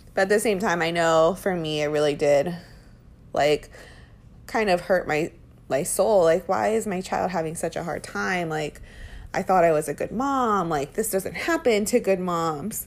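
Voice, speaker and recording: Using a normal speaking voice, a woman with fairly low pitch talks at a moderate pace with lively intonation. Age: 30s. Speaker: parenting podcaster. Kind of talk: casual monologue.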